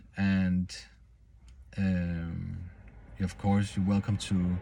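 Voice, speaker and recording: A man with a non-native accent speaks at a very slow pace. His voice sits fairly low, with a dark, mellow tone. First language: not English. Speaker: self-improvement vlogger. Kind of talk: personal vlog monologue. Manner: halting, many false starts.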